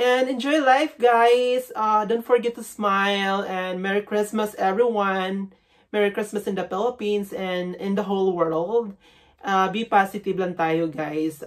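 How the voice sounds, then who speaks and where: This woman talks fairly slowly with ordinary pitch variation, the background quiet. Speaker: vlogger. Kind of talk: casual vlog chat. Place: home room.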